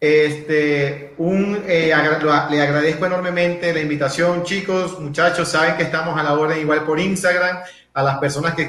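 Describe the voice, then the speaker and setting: Over noticeable background noise and audible room echo, a man with a fairly high pitch talks in a monotone, flat intonation at a moderate pace with hardly any pauses. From Venezuela, Maturín (Monagas, east). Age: 30s. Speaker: personal development speaker. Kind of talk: interview, casual chat.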